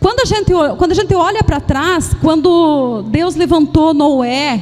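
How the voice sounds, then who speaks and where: Over noticeable background noise, a woman with a high pitch talks at a fairly slow pace with lively intonation. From Paraná, southern Brazil. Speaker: pastor. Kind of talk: sermon. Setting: church service. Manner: halting, with frequent repetitions and fillers.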